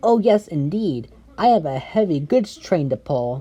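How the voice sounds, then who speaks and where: A female-sounding voice puts on a character at a fairly low pitch and moderate pace, with faint music in the background. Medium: read story. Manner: polite, friendly.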